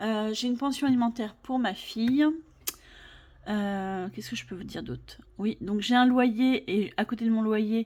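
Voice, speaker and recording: The voice is somewhat breathy, with fairly even intonation. Loudness swings widely. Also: woman. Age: 40s. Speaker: budget vlogger. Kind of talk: casual vlog talk to camera. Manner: hesitant, many fillers.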